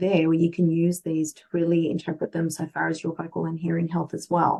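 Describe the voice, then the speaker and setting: With an Australian accent, a woman speaks at a moderate pace. Her fairly low voice has a dark, mellow tone. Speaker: medical interpreter and translator. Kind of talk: interview.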